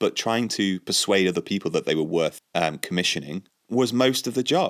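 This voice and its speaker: A man speaks at a fairly quick pace with lively intonation. The recording is very clean with a silent background, dry and close with no echo. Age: 30s. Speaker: writer and podcast host. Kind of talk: solo monologue podcast. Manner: hesitant, with fillers and repeats.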